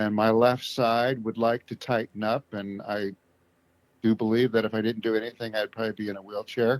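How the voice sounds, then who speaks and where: Speaking at a fairly quick pace in an American accent, a man with a medium-pitched voice talks in a flat monotone, recorded with a dry, close sound that has no echo. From US West Coast, Southern Oregon. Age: 60s. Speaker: stroke survivor. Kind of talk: interview. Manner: halting.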